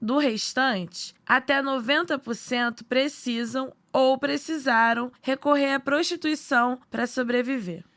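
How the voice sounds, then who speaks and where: A woman with a high pitch talks at a very slow pace with hardly any pauses and ordinary pitch variation, in a very clean recording with a silent background. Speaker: podcast narrator. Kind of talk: news podcast narration.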